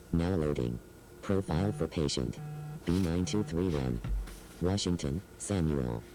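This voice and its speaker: Putting on a character voice, a man speaks with a very deep, low pitch at a moderate pace, with long, frequent pauses. Clear background noise is present. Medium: voice reel. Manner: monotone, clipped.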